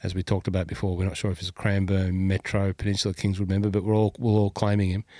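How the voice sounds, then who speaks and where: A man with an Australian accent and fairly low pitch talks at a very fast pace, with hardly any pauses and a monotone, flat intonation. The sound is dry and close with no echo, on a very clean recording with a silent background. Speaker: golf podcast host. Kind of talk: casual chat.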